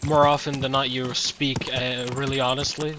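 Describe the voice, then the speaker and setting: Over noticeable background noise, a man with a medium pitch speaks at a moderate pace in a monotone, flat way. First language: Slovenian. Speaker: video game streamer. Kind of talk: live gameplay commentary. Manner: halting.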